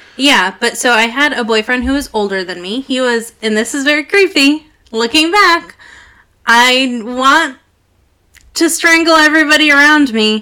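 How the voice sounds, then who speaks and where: A woman projects a raised voice at a high pitch with a bright, sharp tone. Her intonation is lively, and her pace is moderate. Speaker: podcast co-host. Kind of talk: casual chat.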